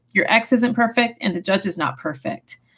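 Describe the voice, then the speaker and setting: A woman speaks at a fairly quick pace. Her voice is fairly high and somewhat breathy. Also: quiet background. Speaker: family law attorney. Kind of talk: tutorial. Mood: calm, earnest. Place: home room. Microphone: webcam.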